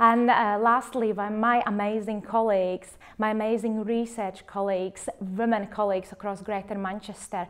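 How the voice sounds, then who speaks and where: This very clean recording has a silent background. The speaker uses fairly even intonation and has a Latvian accent. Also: woman. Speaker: clinical research facilitator. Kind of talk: personal testimony interview. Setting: filmed interview.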